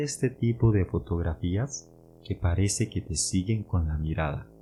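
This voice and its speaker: A man with a Costa Rican accent speaks at a very deep, low pitch in a dark, mellow tone. His voice is somewhat breathy, with lively intonation and a fairly slow pace. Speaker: podcast host, Spanish teacher. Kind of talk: educational podcast narration. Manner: clear and slow.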